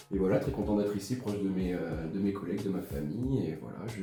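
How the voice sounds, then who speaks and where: A man's fairly low voice at a very fast pace, with music in the background. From southern France, Ardèche. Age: 20s. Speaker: electrician. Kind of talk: casual chat. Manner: hesitant.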